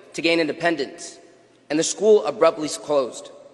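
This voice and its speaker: With lively intonation and a high pitch, a man talks at a moderate pace against noticeable background noise. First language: Tigrinya. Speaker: graduating student speaker. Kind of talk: graduation speech. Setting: stage with audience. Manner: animated.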